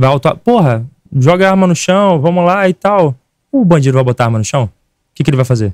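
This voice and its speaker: A man speaks in an animated tone at a fairly quick pace, his pitch swinging very widely. The background is quiet and the sound is dry with no echo. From Rio de Janeiro. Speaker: political activist; podcast guest. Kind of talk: podcast debate. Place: studio. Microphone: studio mic.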